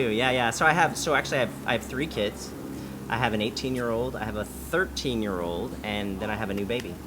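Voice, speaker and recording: With an American accent, a man at a medium pitch talks at a fairly quick pace with very wide pitch swings, and audible room echo surrounds him. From Southern California, San Diego. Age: 40s. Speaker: credit restoration company owner. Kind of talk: interview. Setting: cafe. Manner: fast.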